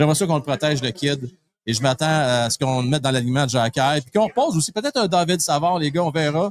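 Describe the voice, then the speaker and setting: A man with a fairly high pitch talks at a very fast pace, with ordinary pitch variation and big swings in loudness. The sound is dry and close, with no echo. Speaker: hockey show host. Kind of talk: live pre-game sports talk. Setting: live broadcast from a pub.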